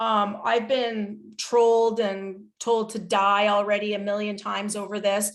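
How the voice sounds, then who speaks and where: A woman's unremarkable speaking voice, fairly high in pitch, with a Canadian accent and fairly even intonation. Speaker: psychologist and researcher. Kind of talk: webinar Q&A answer.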